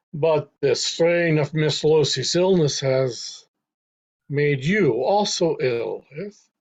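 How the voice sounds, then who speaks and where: Very slowly, someone delivers lines in a put-on character voice. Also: man, high pitch for a man. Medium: stage play. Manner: cold, imperative.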